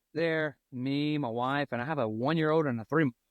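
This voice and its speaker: A man at a moderate pace, in a strong South Louisiana accent. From South Louisiana (Cut Off). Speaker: golf professional and entrepreneur, former pastor. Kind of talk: podcast interview, personal story.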